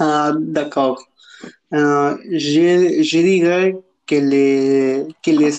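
Fairly even intonation marks a man's voice pitched fairly high. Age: 20s. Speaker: student guest. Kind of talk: casual discussion. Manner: halting.

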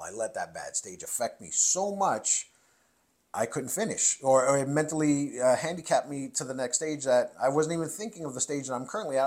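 Here is a man with an unremarkable speaking voice, pitched fairly high. He talks at a fairly quick pace with lively intonation. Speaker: competitive shooter and firearm instructor. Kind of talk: interview conversation.

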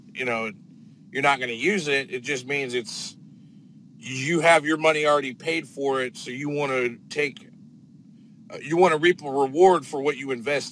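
In a plain, everyday voice, a man with an American accent talks at a moderate pace, his pitch fairly high with ordinary variation. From northern Indiana. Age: 20s. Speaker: drain cleaning plumber. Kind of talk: casual interview chat. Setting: live video stream.

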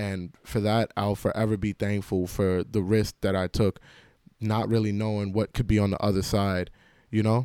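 A man with a New York accent speaks at a moderate pace in a fairly low pitch, his tone dark and mellow, the sound dry and close with no echo on a very clean recording over a silent background. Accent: New York City English. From New York City (Queens), Jamaican immigrant family. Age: 20s. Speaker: college student. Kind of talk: personal storytelling monologue. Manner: casual, with filler words and repetitions.

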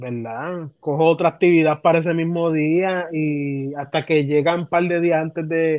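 The background is quiet as a man talks in a fairly high pitch. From Puerto Rico, Humacao. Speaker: music education student and trumpeter. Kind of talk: casual interview.

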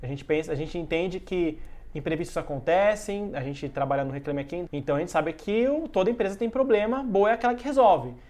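A man at a very fast pace, high-pitched, with very wide pitch swings. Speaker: journalist and podcast host. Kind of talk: casual chat.

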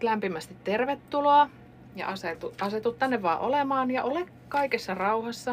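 A woman's fairly high voice at a moderate pace, with lively intonation. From Finland, Kuopio and central Finland. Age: 40s. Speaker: pharmacist. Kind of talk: casual interview. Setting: studio.

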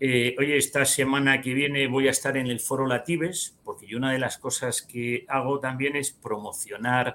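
A man's plain, everyday voice, medium in pitch, with fairly even intonation and a fairly slow pace. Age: 50s. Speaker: financial advisor and trader. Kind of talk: interview.

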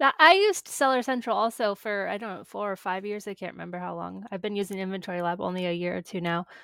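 A woman with an American accent talks at a very fast pace, with hardly any pauses, a bright, sharp tone, medium pitch, ordinary pitch variation and a very clean recording with a silent background. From small-town US. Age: 30s. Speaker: podcast host. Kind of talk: interview.

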